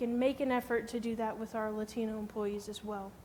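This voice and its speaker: Speaking at a moderate pace, a woman talks with an American accent. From Missouri, US Midwest. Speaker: HR specialist and conference speaker. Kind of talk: conference presentation.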